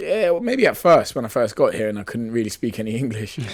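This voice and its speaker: A man's medium-pitched voice at a very fast pace, with noticeable background noise. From Luton, England (born in Nigeria, arrived as a child). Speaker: professional boxer. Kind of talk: interview. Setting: radio studio.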